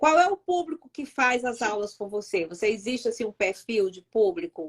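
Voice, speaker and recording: A woman's fairly high voice at a moderate pace, with very wide pitch swings, big swings in loudness and a dry, close sound with no echo. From Northeast Brazil, Fortaleza. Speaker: YouTube host. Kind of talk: live-stream interview. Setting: live stream.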